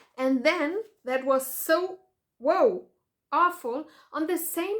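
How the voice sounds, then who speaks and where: With a German accent and very wide pitch swings, a woman is heard on a very clean recording with a silent background. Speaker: patient advocate vlogger. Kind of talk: video commentary. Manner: halting.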